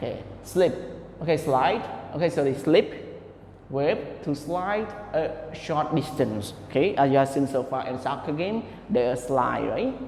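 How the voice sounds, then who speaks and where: A man with a non-native accent and a fairly high pitch speaks at a fairly slow pace with lively intonation, amid audible room echo and noticeable background noise. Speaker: English teacher. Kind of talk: online lesson. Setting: recorded online class.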